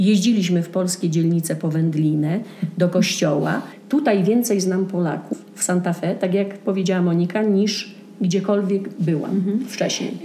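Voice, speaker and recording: Over noticeable background noise and audible room echo, the speaker keeps a moderate pace with ordinary pitch variation. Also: woman, medium pitch for a woman. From southern Poland, Częstochowa. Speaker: Polish immigrant. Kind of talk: casual chat.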